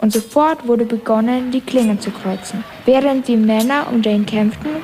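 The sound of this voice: Simply an unforced reading voice.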